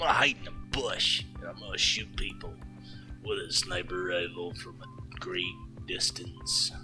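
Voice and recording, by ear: A put-on character voice at a moderate pace, with clear music in the background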